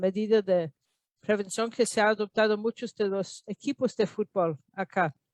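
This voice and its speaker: Her voice fairly high in pitch, a woman speaks with an American accent. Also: dry, close sound with no echo. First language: English (speaking Spanish). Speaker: epidemiologist. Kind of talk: lecture. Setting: video call. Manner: halting.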